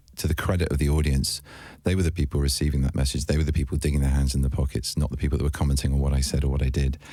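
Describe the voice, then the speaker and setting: Over music in the background, a man with a very deep, low voice speaks at a very fast pace with monotone, flat intonation. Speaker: actor. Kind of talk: interview answer. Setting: radio studio.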